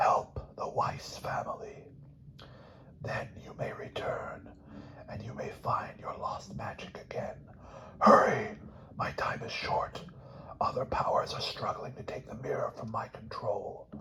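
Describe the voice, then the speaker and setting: Whispering in a put-on character voice, the speaker goes fairly slowly over clear background noise. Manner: urgent, ghostly.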